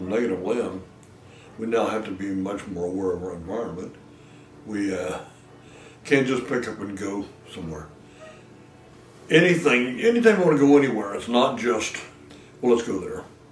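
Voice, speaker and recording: Over noticeable background noise and audible room echo, a man with a fairly low pitch speaks at a moderate pace with lively intonation, long, frequent pauses and big swings in loudness. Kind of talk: documentary interview. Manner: halting.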